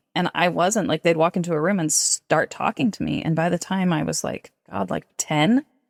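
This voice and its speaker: A woman with a fairly low pitch and vocal fry speaks at a moderate pace with hardly any pauses and ordinary pitch variation, in a dry, close sound with no echo on a very clean recording with a silent background. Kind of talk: interview conversation.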